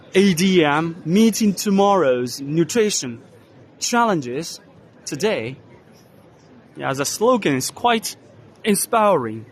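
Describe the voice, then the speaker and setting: With a Chinese accent, a man speaks very slowly in a high voice, with long, frequent pauses. His pitch swings very widely. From China. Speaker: vlogger. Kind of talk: walking tour commentary. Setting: trade exhibition hall. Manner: loud.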